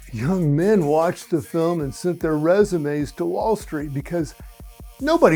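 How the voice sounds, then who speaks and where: Over music in the background, a man talks at a fairly slow pace. His voice is fairly high for a man, with lively intonation. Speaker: comedian, late-night host. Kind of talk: late-night comedy monologue.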